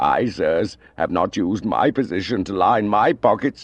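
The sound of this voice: A shaky, put-on character voice from a man.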